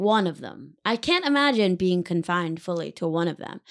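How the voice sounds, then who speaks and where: Using a normal speaking voice with an American accent, a woman talks at a moderate pace and lively intonation. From Connecticut. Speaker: comedian. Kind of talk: casual chat.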